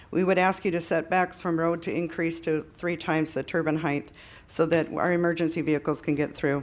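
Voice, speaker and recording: A woman with an Upper Midwest accent, fairly low in pitch, in a monotone, flat intonation at a fairly quick pace. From South Dakota, Yankton County. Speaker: farmer speaking at public hearing. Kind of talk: public comment at hearing. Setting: public meeting. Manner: halting.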